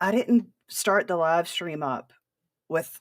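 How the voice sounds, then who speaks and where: A woman speaks with an American accent. Her pitch sits fairly low. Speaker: podcast host. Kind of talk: livestream rant. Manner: animated.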